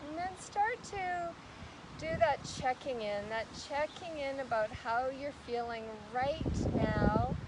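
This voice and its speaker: A loud, shouting woman at a high pitch with very wide pitch swings and a very slow pace, amid noticeable background noise. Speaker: yoga instructor. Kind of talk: live-streamed yoga class. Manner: loud, shouting over wind.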